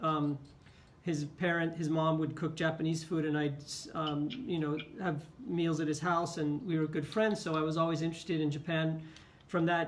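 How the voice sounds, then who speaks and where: A man with an American accent, a fairly high pitch and monotone, flat intonation, at a moderate pace with very even loudness and audible room echo. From California, US West Coast. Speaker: teacher. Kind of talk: interview.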